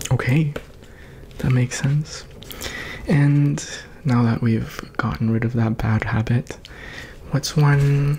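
A soft-spoken man at a very slow pace, very even in loudness and fairly even in intonation, with long, frequent pauses over light background noise. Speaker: ASMR creator. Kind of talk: ASMR personal attention, guided self-reflection. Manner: calm, encouraging. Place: home room. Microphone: studio mic.

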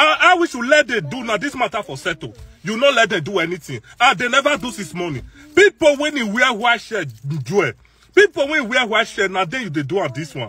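Raising and projecting his voice, a man talks at a fairly quick pace in a dry sound with no echo. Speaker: social media commentator. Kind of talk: casual vlog commentary. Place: car. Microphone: phone near.

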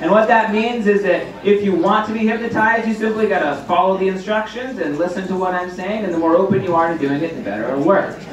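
There is audible room echo and noticeable background noise. A man speaks at a high pitch with ordinary pitch variation. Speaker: stage hypnotist. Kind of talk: hypnotic induction: slow, repetitive suggestions to relax and focus on his voice. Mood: calm, reassuring, slow in induction. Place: hall.

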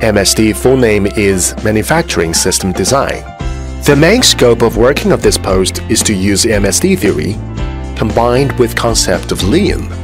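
Clear music plays behind a man's fairly low voice. He speaks at a moderate pace. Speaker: factory manufacturing design supervisor. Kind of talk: interview answer. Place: factory.

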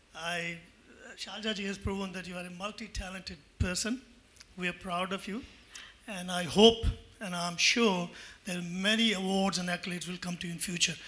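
A man with a high-pitched voice speaks at a moderate pace, his voice raised and projected. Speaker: audience member. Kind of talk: audience question. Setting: stage with audience.

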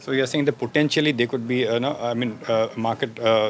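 At a fairly quick pace, a man with a medium pitch speaks with fairly even intonation.

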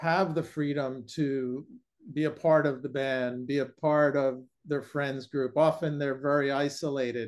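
The speaker is a man with a plain, everyday voice. He talks at a fairly slow pace with a fairly high pitch. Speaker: podcast host, caregiver. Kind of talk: interview question. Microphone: video call.

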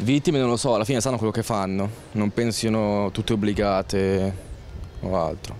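Fairly low in pitch, a man speaks at a moderate pace with a slightly mellow tone. His intonation stays fairly even.

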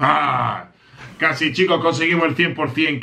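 A bright, sharp tone marks this man's speech. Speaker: gaming streamer. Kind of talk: live gameplay commentary. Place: home room.

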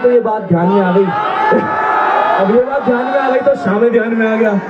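A man's voice against crowd noise in the background. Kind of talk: stage banter with audience. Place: stage. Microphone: pa.

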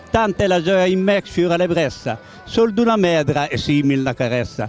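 With music in the background, a man with a high voice talks at a moderate pace in a dry sound with no echo. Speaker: dialect poet. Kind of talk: poetry reading in dialect. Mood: tender, nostalgic. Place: street. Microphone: handheld.

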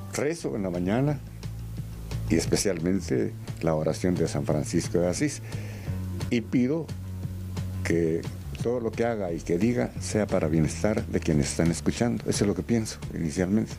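With clear music in the background, a man speaks at a moderate pace, making very wide pitch swings and long, frequent pauses. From Guatemala. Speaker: radio announcer. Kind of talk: interview answer. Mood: calm, reflective, devout. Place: studio. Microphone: handheld.

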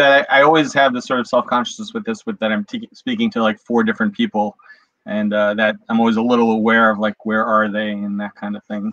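Fairly quick speech from a man, with ordinary pitch variation, a dry sound with no echo and a quiet background. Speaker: actor, workshop participant. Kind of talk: acting monologue. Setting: video call. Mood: thoughtful, slightly self-conscious. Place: home room. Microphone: video call.

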